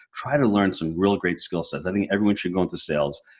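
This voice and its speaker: Very fast and animated, a man with a fairly low voice talks with lively intonation. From New York. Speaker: real estate investor and coach. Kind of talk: podcast interview.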